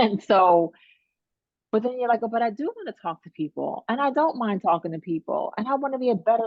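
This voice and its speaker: Lively intonation carries a woman's speech along at a fairly quick pace. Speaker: coaching client. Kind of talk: coaching session. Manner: fast.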